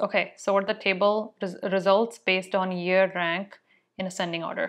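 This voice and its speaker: The background is quiet as a woman talks. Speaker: tech video creator. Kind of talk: casual vlog chat, then tutorial. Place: home room. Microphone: lapel.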